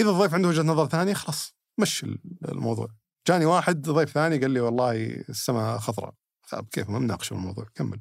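A man talks very fast at a medium pitch with vocal fry. His pitch swings very widely. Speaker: podcast host. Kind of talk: casual chat. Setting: studio.

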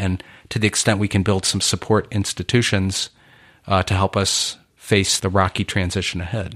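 A man with a normal speaking voice and fairly low pitch talks at a moderate pace in a dry, close recording with no echo and a silent background. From Michigan, Detroit suburbs. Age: 50s. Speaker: author and inequality activist. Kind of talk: interview. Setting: studio.

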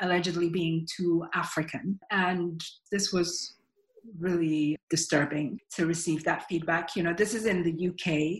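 Her voice is somewhat breathy and fairly low in pitch for a woman. She speaks at a fairly slow pace with fairly even intonation. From Nigeria, Lagos. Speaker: author. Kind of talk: interview.

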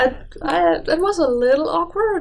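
Over noticeable background noise, a woman speaks with a German accent. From Germany. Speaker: biologist. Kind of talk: casual chat. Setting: studio.

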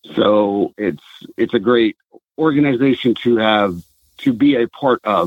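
Fairly low-pitched man with an American accent, a plain, everyday voice, ordinary pitch variation and a fairly slow pace. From Southern California. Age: 40s. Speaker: retired military veteran, outdoors brand founder. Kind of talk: interview.

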